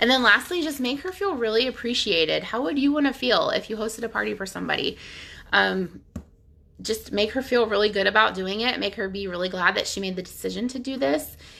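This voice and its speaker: A woman's very fast speech with vocal fry, fairly high pitch, lively intonation and a bright, sharp tone. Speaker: nail polish sales stylist. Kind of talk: tutorial. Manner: casual with many fillers.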